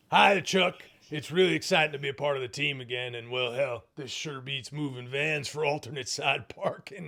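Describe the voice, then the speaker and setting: A man performs a raspy, put-on character voice at a fairly high pitch with ordinary pitch variation. He keeps a moderate pace with hardly any pauses. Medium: comedy sketch. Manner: folksy, leering, repeats 'you know what I'm saying'.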